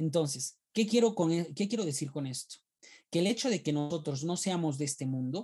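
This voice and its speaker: A man's fairly high voice with a dark, mellow tone and lively intonation against a quiet background. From Peru. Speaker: theologian. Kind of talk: casual chat. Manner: repetitive stammering.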